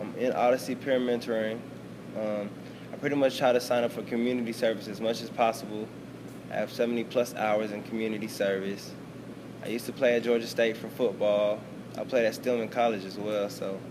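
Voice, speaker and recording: Over noticeable background noise, a man with a medium pitch speaks at a fairly quick pace in a monotone, flat intonation. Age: 20s. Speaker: college student. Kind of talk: interview.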